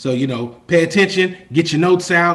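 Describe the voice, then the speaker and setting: Fairly high for a man, this animated voice races at a very fast pace with ordinary pitch variation. Noticeable background noise is audible. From Kentucky, Louisville. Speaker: life coach and chef. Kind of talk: webinar presentation. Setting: video call.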